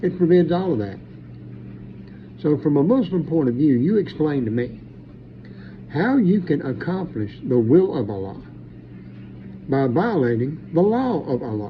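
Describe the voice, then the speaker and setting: Very wide pitch swings at a moderate pace, broken by long, frequent pauses, with audible room echo. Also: man. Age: 60s. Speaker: preacher. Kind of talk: monologue commentary. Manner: animated.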